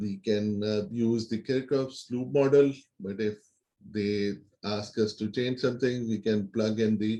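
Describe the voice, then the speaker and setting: A man at a medium pitch talks with fairly even intonation and a dark, mellow tone. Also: fairly slow pace. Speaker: university lecturer. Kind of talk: lecture. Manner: halting, with repeated words.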